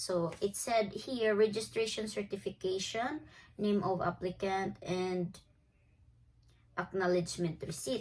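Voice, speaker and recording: A woman with a Filipino accent, at a fairly slow pace. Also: medium pitch for a woman, ordinary pitch variation. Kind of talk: casual talk to camera.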